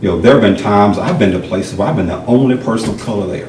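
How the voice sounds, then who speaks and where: A man speaks with a Southern US accent. Audible room echo and noticeable background noise are present. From rural North Carolina. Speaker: realtor, former law enforcement officer. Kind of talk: interview.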